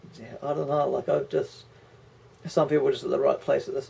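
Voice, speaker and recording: A man talks with a New Zealand accent. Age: 30s. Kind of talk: casual talk to camera.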